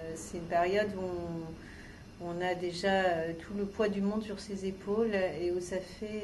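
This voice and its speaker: Very slowly, a woman speaks with monotone, flat intonation. The recording carries audible room echo and noticeable background noise. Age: 40s. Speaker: cancer patient, art therapy participant. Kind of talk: interview testimony. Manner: hesitant, many filler sounds.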